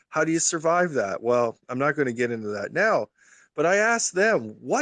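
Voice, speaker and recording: A man's normal speaking voice, fairly high in pitch with lively intonation, over a quiet background. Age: 60s. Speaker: Twitter Spaces participant, retail investor. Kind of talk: casual chat.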